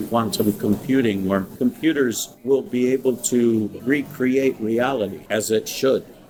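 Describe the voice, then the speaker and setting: Music plays in the background as a man talks at a fairly slow pace with ordinary pitch variation. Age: 60s. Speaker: preacher. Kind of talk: sermon.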